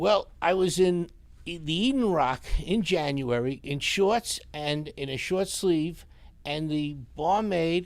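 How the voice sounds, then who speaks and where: Speaking very slowly with a New York accent, a man shows ordinary pitch variation. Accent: deep New York. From New York City, Astoria, Queens. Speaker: sign business owner. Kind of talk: casual interview. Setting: live stream.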